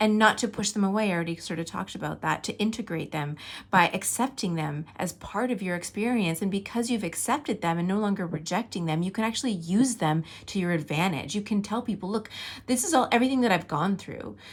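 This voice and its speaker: Very fast, somewhat breathy speech with a warm tone, on a very clean recording with a silent background. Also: woman. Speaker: tarot reader, spiritual guide. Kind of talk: tarot reading to camera. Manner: casual, warm, conversational.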